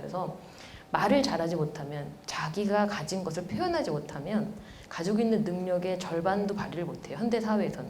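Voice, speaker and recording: A woman talks at a fairly low pitch with ordinary pitch variation. Audible room echo and noticeable background noise surround her voice. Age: 40s. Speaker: professor. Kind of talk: lecture. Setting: stage with audience.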